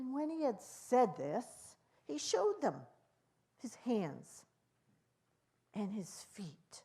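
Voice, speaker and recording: A woman's somewhat breathy, dark, mellow tone, fairly high in pitch, with very wide pitch swings, a very slow pace and long, frequent pauses. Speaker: Biblical storyteller. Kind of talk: Bible storytelling, conversational retelling.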